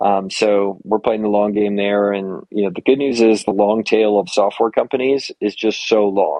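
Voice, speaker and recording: Using an ordinary speaking voice, a man talks at a moderate pace and fairly low pitch with fairly even intonation and hardly any pauses. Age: 40s. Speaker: entrepreneur and investor. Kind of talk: interview.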